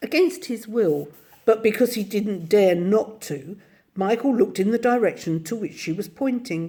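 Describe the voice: The clip is plain reading aloud.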